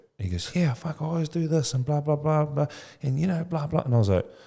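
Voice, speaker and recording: Very fast speech from a man with a dark, mellow, somewhat breathy tone and a fairly high pitch. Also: very clean recording, silent background. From New Zealand (Tokoroa). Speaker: educator and childcare business owner. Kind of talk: podcast interview. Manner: casual, slangy.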